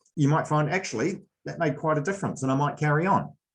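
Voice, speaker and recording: With a New Zealand accent, a man talks at a fairly high pitch with ordinary pitch variation. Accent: New Zealand accent, noticeable. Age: 40s. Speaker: sports coach. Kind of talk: presentation. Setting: video call.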